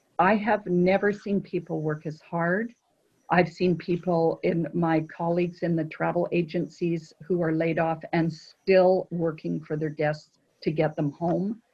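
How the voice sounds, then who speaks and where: A woman's fairly low, somewhat breathy voice, monotone and flat, at a fairly slow pace. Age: 60s. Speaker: cruise line sales director. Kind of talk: casual chat.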